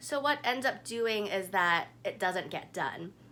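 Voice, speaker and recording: At a fairly slow pace, a woman speaks in an ordinary speaking voice, pitched fairly high. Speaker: naturopathic doctor, guided meditation guide. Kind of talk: guided meditation. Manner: calm, slow, instructional.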